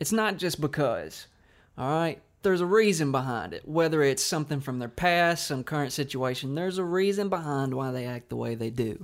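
With a normal speaking voice, a man talks at a fairly high pitch and a moderate pace with lively intonation, on a very clean recording with a silent background. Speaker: podcast host. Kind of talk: casual chat.

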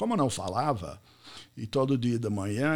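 A man with an American accent, lively intonation, and a moderate pace. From US, Pittsburgh. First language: English (speaking Portuguese). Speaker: business podcast host and networking speaker. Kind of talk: live online talk.

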